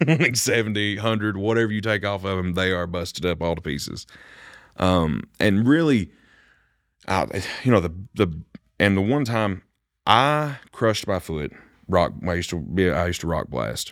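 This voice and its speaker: In an Appalachian accent, a man with a very deep, low pitch speaks at a moderate pace with lively intonation and long, frequent pauses, on a very clean recording with a silent background. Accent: Appalachian Kentucky. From Kentucky, Bath County. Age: 20s. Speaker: singer-songwriter. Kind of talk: casual chat.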